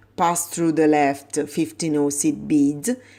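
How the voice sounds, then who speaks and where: A woman speaks very slowly with an Italian accent. Her pitch is very deep and low, and her tone is dark and mellow. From Italy. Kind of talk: tutorial.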